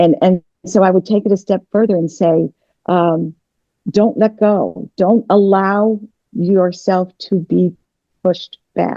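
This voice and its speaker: A woman speaks with a normal speaking voice and a fairly low pitch. Her pitch varies in an ordinary way. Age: 60s. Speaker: political strategist. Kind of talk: interview conversation.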